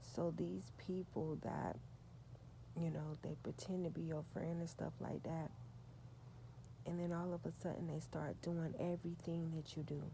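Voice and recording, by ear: Soft-spoken with vocal fry, a woman speaks at a moderate pace in a low pitch with little pitch movement.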